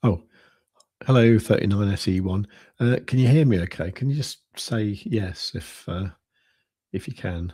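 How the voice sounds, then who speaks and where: Soft-spoken and somewhat breathy, a man with a fairly low pitch talks with long, frequent pauses in a very clean recording with a silent background. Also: ordinary pitch variation, moderate pace. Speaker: crypto trading livestreamer. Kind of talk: casual livestream commentary. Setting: livestream at home at night. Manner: quiet, soft-spoken.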